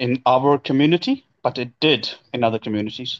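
A man with a normal speaking voice, medium pitch and ordinary pitch variation, at a moderate pace, in a dry, close sound with no echo. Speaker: guest discussing Sikh community issues. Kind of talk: casual discussion podcast.

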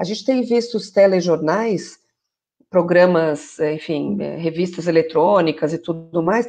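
Her voice is dark and mellow, fairly low for a woman, with lively intonation at a moderate pace over a quiet background. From Brazil, São Paulo area. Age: 40s. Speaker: journalist and journalism lecturer. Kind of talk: interview in a live video stream. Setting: online live stream.

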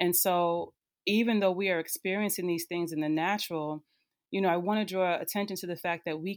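A woman speaks with an American accent in an unremarkable speaking voice, fairly low in pitch. Her intonation stays fairly even, and the recording is very clean with a silent background. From northern New Jersey. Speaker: social work educator. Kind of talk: casual chat.

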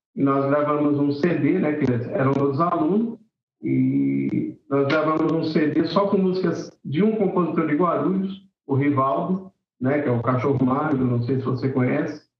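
Using an ordinary speaking voice, a man talks at a fairly slow pace with fairly high pitch, ordinary pitch variation, and very even loudness. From Brazil, São Paulo city (Vila Carrão). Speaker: singer-songwriter and music teacher. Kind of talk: casual interview.

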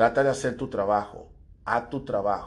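A man at a moderate pace with ordinary pitch variation, a plain, everyday voice. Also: very clean recording, silent background. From Dominican Republic. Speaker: podcast host. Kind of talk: opinion monologue.

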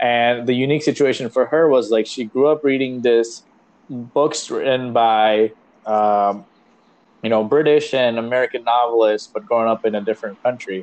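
Using fairly even intonation, a man talks at a moderate pace. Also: medium pitch for a man. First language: Marathi. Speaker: podcast host. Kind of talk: casual chat.

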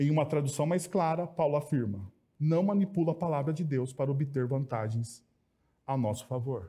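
Delivered at a moderate pace with very even loudness, the voice is somewhat breathy and animated in tone, with ordinary pitch variation. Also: man, fairly high pitch for a man. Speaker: preacher. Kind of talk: sermon. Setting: church. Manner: animated, conversational, humorous; repetitive emphatic phrasing.

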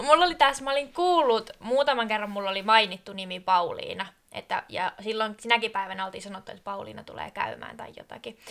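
This woman has an unremarkable speaking voice at a fairly high pitch. She talks at a fairly quick pace. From southern Finland, Kiikoinen. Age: 20s. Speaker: podcast co-host, tourism student. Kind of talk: casual chat.

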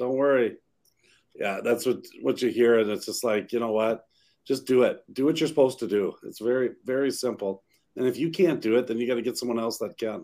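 At a fairly quick pace, a man talks with a plain, everyday voice at a medium pitch with ordinary pitch variation. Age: 50s. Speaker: real estate broker and podcast co-host. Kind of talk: casual chat.

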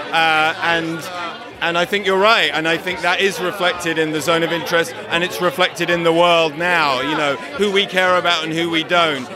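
Against noticeable background noise, a high-pitched man speaks at a moderate pace with fairly even intonation. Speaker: film producer. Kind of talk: interview. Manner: halting.

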